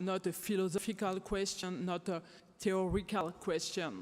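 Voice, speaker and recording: This woman has a French accent. Her intonation stays fairly even. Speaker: theater director and activist. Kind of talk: closing statement speech. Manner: impassioned.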